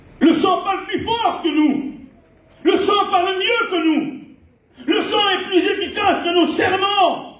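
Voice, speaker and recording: With audible room echo, a man talks at a very slow pace and an extremely high pitch in fairly even intonation. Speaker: pastor. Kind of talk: sermon. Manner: loud.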